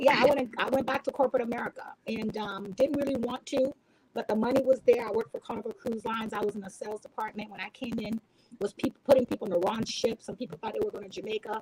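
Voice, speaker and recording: In a Haitian accent, a woman talks very fast in a fairly high voice with ordinary pitch variation and big swings in loudness, the sound dry and close with no echo. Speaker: entrepreneur and sales professional. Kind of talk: casual chat. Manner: halting.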